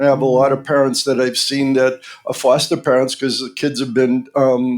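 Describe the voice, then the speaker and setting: The speaker has a Boston accent. Their intonation is monotone and flat. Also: man. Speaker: pediatric dentist. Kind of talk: interview podcast.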